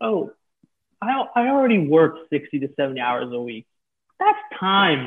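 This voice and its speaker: Lively in intonation, a man with an American accent speaks at a moderate pace in an unremarkable speaking voice. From New York City. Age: 20s. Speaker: talent manager for influencers. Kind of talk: casual interview.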